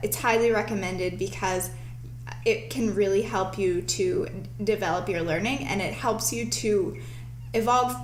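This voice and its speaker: A woman speaks over noticeable background noise. The room gives off an audible echo. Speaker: show host. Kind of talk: live-streamed tutorial.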